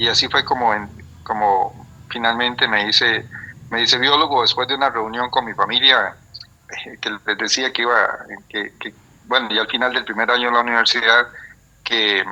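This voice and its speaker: A man's medium-pitched voice, monotone and flat, at a moderate pace with long, frequent pauses. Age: 60s. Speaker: biologist and retired professor. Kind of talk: interview. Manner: halting, many fillers and repetitions.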